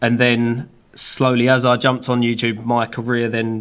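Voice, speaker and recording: A man with a British accent talks at a medium pitch. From UK. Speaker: filmmaker and YouTuber. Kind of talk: casual chat. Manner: casual, filler-heavy.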